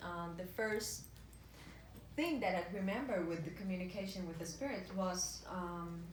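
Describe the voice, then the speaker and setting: In a Spanish accent, a woman speaks at a moderate pace with ordinary pitch variation, with audible room echo and noticeable background noise. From Dominican Republic. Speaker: medium and author. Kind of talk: public talk. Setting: bookstore talk with audience. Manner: halting, many fillers.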